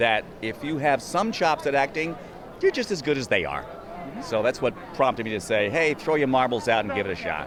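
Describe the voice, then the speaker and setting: Noticeable background noise fills the recording. Over it, the speech has lively intonation. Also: man, fairly high pitch for a man. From Little Rock, Arkansas. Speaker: voice actor and comedian. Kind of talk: interview answer.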